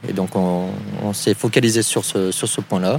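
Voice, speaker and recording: A man in a monotone, flat intonation, with noticeable background noise. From southwestern France, Pau area. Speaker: canoe rental owner. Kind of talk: interview. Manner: halting.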